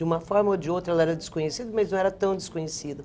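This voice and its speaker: A woman's speech shows ordinary pitch variation, with light background noise present. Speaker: political commentator. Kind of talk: televised political panel discussion. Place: studio. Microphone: lapel.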